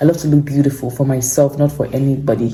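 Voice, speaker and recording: Moderately paced, somewhat breathy speech from a woman, dark and mellow in tone. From Nigeria. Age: 20s. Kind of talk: casual talk to camera.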